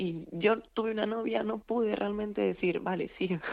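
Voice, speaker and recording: Speaking fairly slowly, a woman uses an unremarkable speaking voice at medium pitch with ordinary pitch variation. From Galicia, A Coruña. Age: 20s. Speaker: university student. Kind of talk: radio interview.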